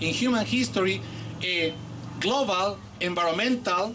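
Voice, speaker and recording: In a Bolivian accent, a man speaks with lively intonation amid audible room echo and noticeable background noise. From Peru. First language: Aymara. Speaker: professor. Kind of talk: public speech.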